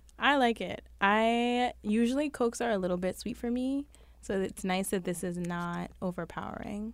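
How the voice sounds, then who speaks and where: The speaker has a New York accent, and the recording is very clean with a silent background. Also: woman, fairly high pitch for a woman, ordinary pitch variation, moderate pace. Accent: New York City. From Brooklyn, New York. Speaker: podcast co-host. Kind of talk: casual chat.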